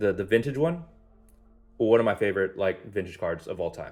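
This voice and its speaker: Music plays behind a man who speaks at a medium pitch with ordinary pitch variation. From US, Spanish-speaking home. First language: Spanish. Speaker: card unboxing YouTuber. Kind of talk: casual unboxing commentary. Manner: animated, casual.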